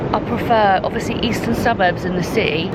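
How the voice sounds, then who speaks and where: Speaking with a British accent, a woman talks at a moderate pace and a medium pitch. Audible room echo and noticeable background noise accompany her voice. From UK. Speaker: travel vlogger. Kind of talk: casual vlog talk to camera. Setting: outdoors on a beach.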